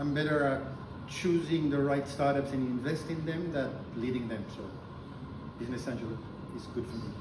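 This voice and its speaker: A man speaks at a fairly quick pace with ordinary pitch variation. Background noise is noticeable. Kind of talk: interview answer. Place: meeting room. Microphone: camera far.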